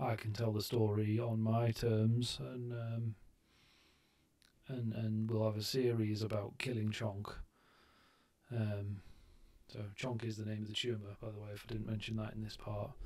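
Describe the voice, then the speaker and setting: In a British accent, a man with a fairly low pitch speaks in a monotone, flat way, leaving long, frequent pauses. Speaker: vlogger recovering from brain surgery. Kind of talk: casual vlog talk to camera. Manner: halting, many ums and restarts.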